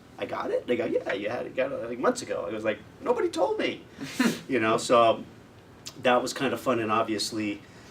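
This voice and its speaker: A man with an American accent at a fairly quick pace, with long, frequent pauses and noticeable background noise. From United States. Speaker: voice actor. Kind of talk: interview answer. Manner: casual, conversational.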